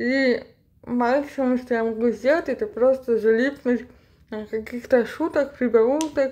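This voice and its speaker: Very slowly, a woman speaks in a high voice. Her intonation stays fairly even. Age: 30s. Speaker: cleaning vlogger. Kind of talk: casual voiceover for cleaning vlog.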